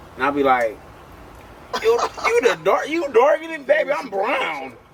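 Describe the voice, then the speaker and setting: Against noticeable background noise, a man speaks in an animated tone at a moderate pace. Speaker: interview guest, comedian. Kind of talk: casual chat.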